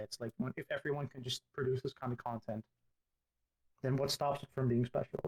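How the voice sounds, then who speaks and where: Somewhat breathy and at medium pitch, a man talks at a fairly quick pace in a dry, close sound with no echo. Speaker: digital artist, game builder. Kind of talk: interview answer.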